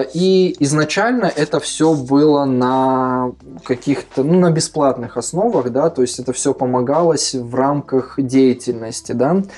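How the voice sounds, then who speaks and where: A man talks at a very slow pace. His pitch is fairly high with ordinary variation. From Kazakhstan. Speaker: education center founder. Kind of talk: casual interview.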